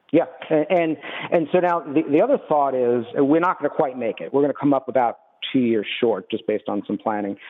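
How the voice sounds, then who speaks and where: With lively intonation and a fairly quick pace, a man talks in a normal speaking voice at a fairly high pitch. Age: 50s. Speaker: retired business owner, caller. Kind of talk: radio call-in question. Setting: phone call.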